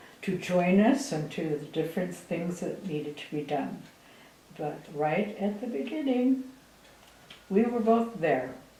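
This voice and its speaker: A woman talks at a fairly slow pace with lively intonation. Audible room echo and noticeable background noise surround her. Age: 80s+. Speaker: missionary and author. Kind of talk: speech to audience.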